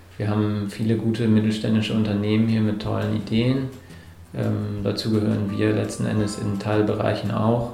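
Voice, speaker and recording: There's noticeable background noise and audible room echo as a man speaks. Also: moderate pace. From northern Germany (Hamburg). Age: 30s. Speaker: entrepreneur. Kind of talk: interview. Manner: hesitant, many filler sounds.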